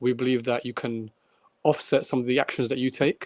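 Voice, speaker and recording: A man's voice at a medium pitch. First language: not English. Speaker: crypto project founder. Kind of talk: interview. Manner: halting with fillers.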